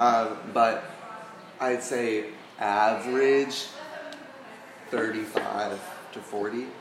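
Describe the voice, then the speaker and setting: A man speaks at a very slow pace in a monotone, flat delivery, with long, frequent pauses. Noticeable background noise and audible room echo are present. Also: medium pitch for a man. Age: 18. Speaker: ballet dancer. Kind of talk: casual chat. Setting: studio.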